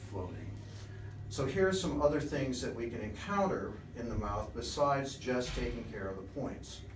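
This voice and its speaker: There is light background noise and audible room echo. The pace is moderate. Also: man. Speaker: presenter. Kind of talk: lecture. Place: home room. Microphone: camera far.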